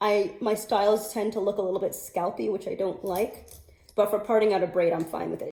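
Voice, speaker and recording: A woman's plain, everyday voice, fairly high in pitch, with fairly even intonation and an American accent. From New York. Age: 30s. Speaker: natural hair vlogger. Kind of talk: casual talk to camera.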